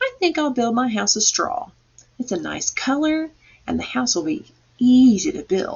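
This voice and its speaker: A woman in a put-on character voice pitches it high and keeps an average speed. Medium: read story. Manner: breezy, carefree.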